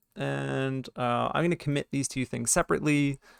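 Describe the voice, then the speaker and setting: A man speaks fairly slowly, captured in a very clean recording with a silent background. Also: dry, close sound with no echo. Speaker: web development instructor. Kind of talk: coding tutorial lecture. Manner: casual with filler words.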